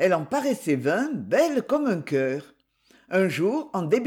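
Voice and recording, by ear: A quiet background under reading aloud in a natural voice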